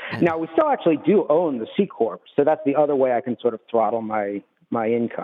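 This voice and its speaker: A man with a plain, everyday voice speaks at a fairly quick pace, his fairly high pitch carried by lively intonation. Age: 50s. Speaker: retired business owner, caller. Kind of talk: radio call-in question. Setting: phone call.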